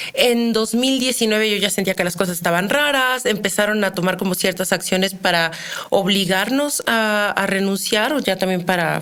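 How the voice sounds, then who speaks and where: Woman's medium-pitched voice, fairly slow, with ordinary pitch variation and noticeable background noise. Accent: central Mexican. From Mexico, Querétaro. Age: 30s. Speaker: criminologist. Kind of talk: interview.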